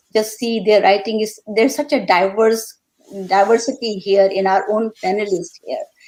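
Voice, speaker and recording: A woman speaks in an Indian accent. Her pitch is medium and her pace moderate. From India, Calcutta. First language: Hindi. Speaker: poet. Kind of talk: panel discussion. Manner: halting.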